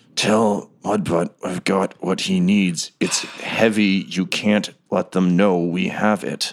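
In a strained, put-on character voice, a man speaks at a fairly low pitch and a fairly slow pace with hardly any pauses. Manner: strained, through clenched teeth.

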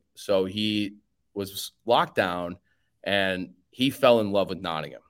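A man with a Chicago accent. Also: very clean recording, silent background. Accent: Chicago American. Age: 30s. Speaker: sports podcaster. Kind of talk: casual interview chat.

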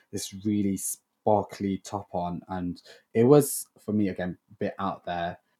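At a fairly slow pace, a man with a Lancashire accent speaks in a dark, mellow tone and fairly low pitch, his intonation fairly even, in a very clean recording with a silent background. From northern England, Blackburn. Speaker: actor. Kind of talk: interview. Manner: halting.

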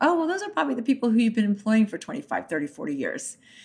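Her voice is somewhat breathy. A woman speaks with fairly high pitch. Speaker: consulting firm managing director. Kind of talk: interview.

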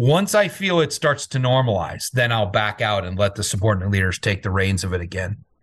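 Somewhat breathy, a man speaks at a fairly quick pace with a fairly low pitch and ordinary pitch variation over a quiet background. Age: 50s. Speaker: CEO of a security firm, military veteran. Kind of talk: interview.

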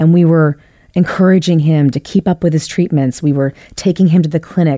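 A dark, mellow tone in a Philadelphia accent, fairly quick, with ordinary pitch variation and a dry, close sound with no echo. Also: woman. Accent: Philadelphia American. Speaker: storyteller. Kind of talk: personal storytelling.

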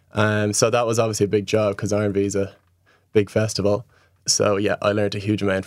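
In a Dublin accent, a man with a fairly low pitch talks fairly quickly and in a flat monotone on a very clean recording with a silent background. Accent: Irish (Dublin). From Ireland, Dublin. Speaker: festival waste management worker. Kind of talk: interview.

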